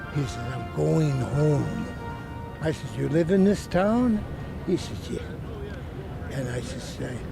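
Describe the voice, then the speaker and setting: A man's voice with audible room echo and crowd noise in the background. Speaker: war veteran. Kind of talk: interview testimony.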